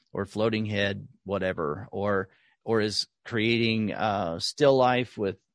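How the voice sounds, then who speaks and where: A man speaks in a plain, everyday voice at a fairly low pitch with ordinary pitch variation. The background is quiet. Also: dry, close sound with no echo. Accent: American. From US South, rural Oklahoma. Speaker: artist and art podcast host. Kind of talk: interview conversation.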